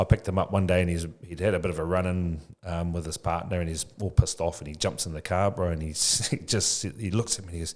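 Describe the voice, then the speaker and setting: In a very clean recording with a silent background, a man with a very deep, low pitch speaks very fast and sounds somewhat breathy. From New Zealand (Tokoroa). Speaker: educator and childcare business owner. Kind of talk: podcast interview. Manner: casual, slangy.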